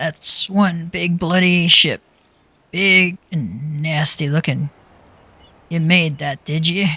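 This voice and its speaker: A put-on character voice in a middle pitch at a very slow pace, with long, frequent pauses. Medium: game stream. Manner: gruff.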